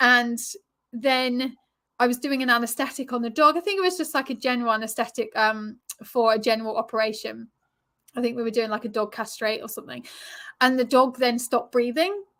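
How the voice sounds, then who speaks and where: In an English accent, a woman speaks at a high pitch with a bright, sharp tone. The recording is very clean, with a silent background. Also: ordinary pitch variation, fairly quick pace. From England. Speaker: relationship coach and yoga teacher. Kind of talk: interview.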